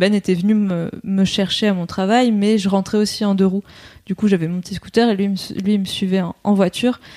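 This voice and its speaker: A woman's medium-pitched voice with a dark, mellow tone, monotone, flat intonation and a moderate pace. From southern France. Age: 20s. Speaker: stay-at-home mother-to-be. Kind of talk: casual interview. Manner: hesitant.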